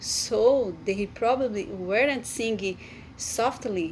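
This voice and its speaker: Here a woman speaks with a Brazilian Portuguese accent at a very slow pace. Her pitch is fairly high, with ordinary pitch variation. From Brazil, Amazonas. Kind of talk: devotional talk. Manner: halting.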